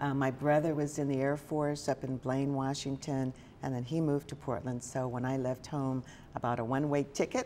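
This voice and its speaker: With an American accent, a woman speaks in a very deep, low pitch with a dark, mellow tone and monotone, flat intonation. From Oklahoma, Tulsa. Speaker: journalism school dean. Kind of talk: interview.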